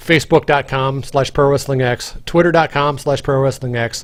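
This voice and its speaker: Speaking at a moderate tempo, a man uses an ordinary speaking voice that sits fairly high, its pitch rising and falling in an ordinary way. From Canadian prairies. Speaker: game developer, stream host. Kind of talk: casual chat. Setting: live stream.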